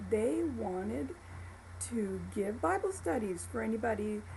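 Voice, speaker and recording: A woman with an American accent speaks at a fairly slow pace, with audible room echo. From Florida, Tampa (Ybor City), Cuban family. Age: 70s. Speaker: church member giving life story. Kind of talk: testimony. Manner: halting, with repetitions and fillers.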